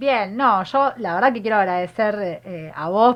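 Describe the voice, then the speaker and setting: This woman has an unremarkable speaking voice. Her medium pitch moves with ordinary variation. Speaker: feminist activist and candidate. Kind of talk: political interview.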